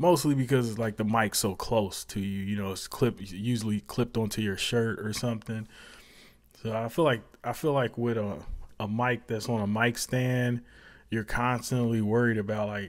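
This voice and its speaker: A man speaks at a moderate pace with a quiet background behind him. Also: fairly even intonation. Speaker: tech youtuber. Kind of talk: casual product review chat. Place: home room. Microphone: lapel.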